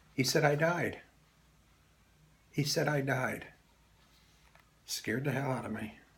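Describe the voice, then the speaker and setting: With audible room echo, a man with an American accent and a fairly high pitch talks at a fairly slow pace with fairly even intonation and long, frequent pauses. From Philadelphia, US. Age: 70s. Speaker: Air Force veteran. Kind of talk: testimony.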